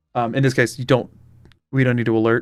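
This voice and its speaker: Music plays in the background. A man with an American accent speaks at medium pitch. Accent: slight Southern accent, disputed. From US South. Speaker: streamer. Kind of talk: casual chat. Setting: live stream. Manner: loud.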